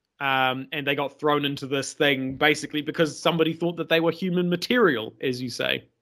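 A man's fairly high-pitched, fairly quick delivery with hardly any pauses, ordinary pitch variation and an ordinary speaking voice. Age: 20s. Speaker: history podcast guest narrator. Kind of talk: scripted historical narration.

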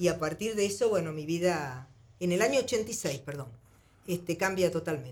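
A woman talks at a moderate pace in an ordinary speaking voice. Her pitch is fairly low and her intonation lively. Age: 60s. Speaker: singer. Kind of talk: interview.

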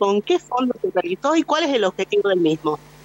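Against noticeable background noise, a woman's pitch swings very widely. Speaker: radio reporter. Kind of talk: radio field report. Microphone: voice echoes a little.

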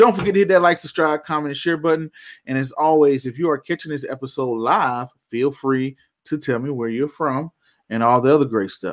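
An animated man with an American accent talks at a fairly quick pace with ordinary pitch variation, on a very clean recording with a silent background. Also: fairly high pitch for a man. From US South, Georgia. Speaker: investing show host. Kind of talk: radio-style live show host patter, financial commentary. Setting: home office, live stream. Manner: animated, showman-like; casual, chatty, with filler words.

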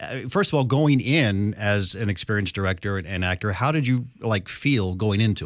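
A man at a fairly low pitch, with lively intonation, a moderate pace, hardly any pauses and an unremarkable speaking voice. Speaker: radio host. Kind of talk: casual interview. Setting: studio.

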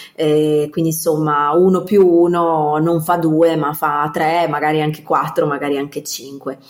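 With noticeable background noise behind her, a woman with a very deep, low pitch speaks at a fairly slow pace in a monotone, flat intonation. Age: 30s. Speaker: professional organizer. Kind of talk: interview.

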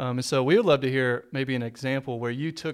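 A man speaks in a normal speaking voice at medium pitch, talking at a fairly quick pace with fairly even intonation on a very clean recording with a silent background. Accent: American. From Texas. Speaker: pastor. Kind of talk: casual chat.

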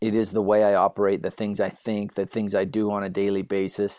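A man with an ordinary speaking voice and fairly low pitch talks at a moderate pace, in a dry, close sound with no echo on a very clean recording with a silent background. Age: 30s. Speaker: mixed martial arts fighter and former teacher. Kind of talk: casual interview.

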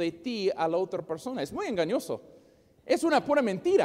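A man with an English accent and an extremely high pitch. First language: English (speaking Spanish). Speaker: preacher. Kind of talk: sermon. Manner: halting, repeats words.

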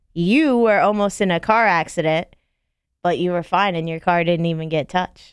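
A woman speaks in a plain, everyday voice with an American accent, at a fairly low pitch. Her pace is moderate and her pitch variation ordinary. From Florida, Palm Beach County. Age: 30s. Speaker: podcast co-host. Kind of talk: casual chat.

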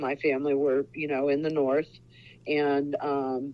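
A woman speaks with a Midwestern US accent at a very deep, low pitch. Her intonation is monotone and flat. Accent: US Midwest. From Ohio. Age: 60s. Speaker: author. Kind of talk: interview.

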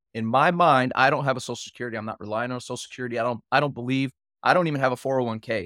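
With a plain, everyday voice and an American accent, a man of medium pitch speaks with ordinary pitch variation in a dry, close sound with no echo. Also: very clean recording, silent background. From Texas, Houston. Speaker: Navy veteran, life coach. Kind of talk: casual interview chat.

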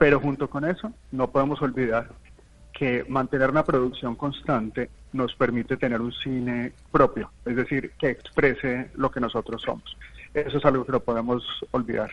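A man speaks at medium pitch and a moderate pace, with fairly even intonation. He has an unremarkable speaking voice. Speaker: film and culture expert. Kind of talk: radio panel discussion.

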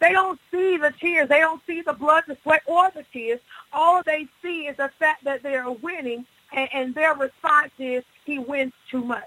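Raising and projecting her voice, a woman speaks at high pitch with ordinary pitch variation and big swings in loudness, at a moderate pace, in a dry, close sound with no echo. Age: 40s. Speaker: pastor. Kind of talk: radio interview testimony.

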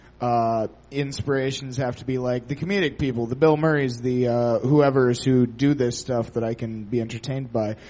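A normal speaking voice from a man, medium-pitched, fairly even in intonation, at a moderate pace. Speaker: audience contestant.

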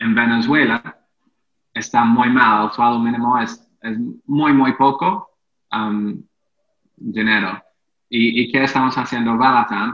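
A man with an English accent talks at a very slow pace and medium pitch, his intonation fairly even and his pauses long and frequent. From England. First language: English (speaking Spanish). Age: 30s. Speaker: entrepreneur. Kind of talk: interview. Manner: halting.

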